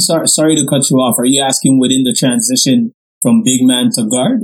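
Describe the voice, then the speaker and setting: A man talks at a fairly quick pace in an ordinary speaking voice, with medium pitch, lively intonation and very even loudness. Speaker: podcast co-host. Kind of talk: casual interview.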